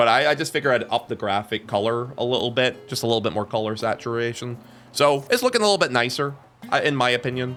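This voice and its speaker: Music in the background under a man's medium-pitched voice, very fast and with ordinary pitch variation. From Ireland. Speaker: game streamer. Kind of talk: casual live stream chat.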